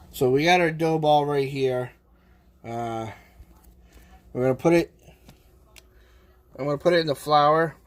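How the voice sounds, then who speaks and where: A fairly high-pitched male voice in a Boston accent, at a moderate pace with long, frequent pauses and fairly even intonation. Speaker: live streamer cooking on stream. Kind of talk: casual live-stream chat while cooking.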